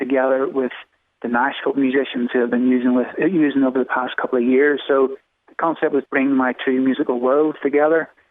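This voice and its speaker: Speaking fairly quickly in an Irish accent, a man keeps a monotone, flat intonation. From Ireland. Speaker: songwriter. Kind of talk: interview answer.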